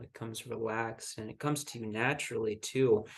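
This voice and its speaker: This man has an unremarkable speaking voice at a medium pitch, with fairly even intonation and a moderate pace. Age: 20s. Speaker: marathon runner. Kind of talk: interview answer.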